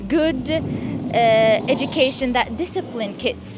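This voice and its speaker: Against noticeable background noise and audible room echo, a woman speaks in a high pitch with ordinary pitch variation. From Sweden (raised there, came from Syria as a child in 2015). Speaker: student interviewed on the street. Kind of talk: street interview. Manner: halting, with repeated false starts.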